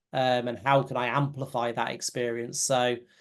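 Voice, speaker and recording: A man with a British accent speaks at a fairly slow pace in a monotone, flat intonation. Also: quiet background. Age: 40s. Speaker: company CEO. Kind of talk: interview. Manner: halting.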